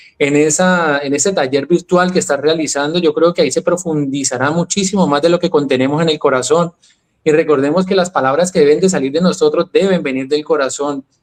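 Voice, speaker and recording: In a Colombian accent, a man talks at a fairly quick pace with a fairly high pitch and fairly even intonation. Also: dry, close sound with no echo. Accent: Colombian, retained. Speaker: health and wellness speaker. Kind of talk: interview conversation.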